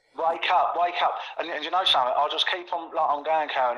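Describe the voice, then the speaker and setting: A man talks at a very fast pace, his pitch fairly high with ordinary variation. Noticeable background noise is present. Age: 60s. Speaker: conspiracy commentator. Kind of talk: casual chat. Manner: halting.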